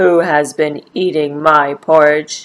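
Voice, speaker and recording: A woman's put-on character voice, gruff and growling, very deep and low in pitch, at a fairly slow pace. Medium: read story. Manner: gruff, growling.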